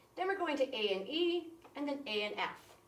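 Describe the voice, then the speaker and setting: Audible room echo surrounds a woman's high-pitched voice with lively intonation. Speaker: music teacher. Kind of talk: tutorial. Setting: recorded video for classroom. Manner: fast.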